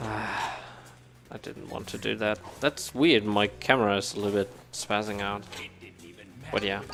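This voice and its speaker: A man's fairly low voice with a German accent, fairly even intonation, moderate pace, long, frequent pauses and music in the background. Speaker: speedrunner. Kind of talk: live gameplay commentary. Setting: live event stage with couch audience. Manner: halting, many fillers and restarts.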